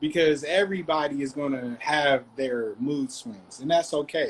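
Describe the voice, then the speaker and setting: This is an ordinary speaking voice at a moderate pace. It shows ordinary pitch variation. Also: man. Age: 30s. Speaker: discussion participant. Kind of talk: group discussion.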